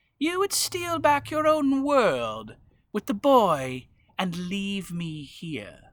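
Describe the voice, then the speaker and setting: Using a put-on character voice, a man with a high pitch speaks at a very slow pace with very wide pitch swings. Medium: read story. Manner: commanding, threatening.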